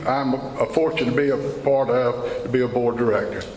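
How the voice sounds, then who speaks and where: A man with a fairly high pitch talks at a fairly slow pace over noticeable background noise and audible room echo. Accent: American. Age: 70s. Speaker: tobacco farmer. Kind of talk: speech to a farm group meeting. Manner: emotional.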